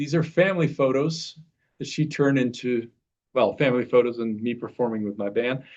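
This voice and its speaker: Speaking at a fairly quick pace, a man uses medium pitch and ordinary pitch variation. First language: Norwegian. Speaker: presenter at a stamp library talk. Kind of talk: presentation.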